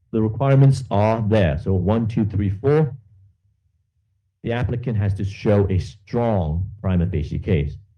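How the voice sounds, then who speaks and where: A man's fairly low, somewhat breathy voice with a dark, mellow tone, ordinary pitch variation, a fairly slow pace and audible room echo. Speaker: law lecturer. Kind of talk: lecture.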